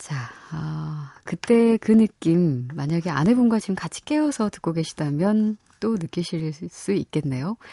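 Dry and close with no echo, a woman's fairly low, dark, mellow and somewhat breathy voice moves at a fairly slow pace with lively intonation. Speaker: radio host. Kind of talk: radio show interview and hosting. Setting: studio.

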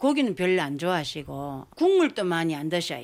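The recording is very clean, with a silent background. A woman at medium pitch talks at a fairly slow pace with very wide pitch swings. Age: 70s. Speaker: family caregiver interviewee. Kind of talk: recorded field interview.

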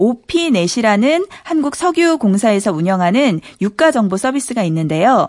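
Fairly slow in pace, a woman talks at a fairly high pitch with very wide pitch swings. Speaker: radio news reporter. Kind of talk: news segment. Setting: studio.

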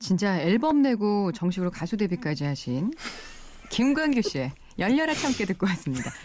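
This woman's medium-pitched voice moves through very wide pitch swings. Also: moderate pace. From South Korea, Busan. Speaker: radio host. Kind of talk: radio interview, casual chat. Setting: radio studio. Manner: lively.

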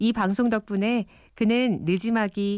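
A woman with a fairly high pitch and a dark, mellow tone is heard in a dry, close sound with no echo on a very clean recording with a silent background. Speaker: documentary narrator. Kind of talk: scripted narration.

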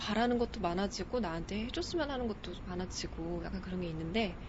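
Fairly quick speech from a woman amid noticeable background noise and audible room echo. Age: 20s. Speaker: aspiring news announcer and stage MC. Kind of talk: book recommendation.

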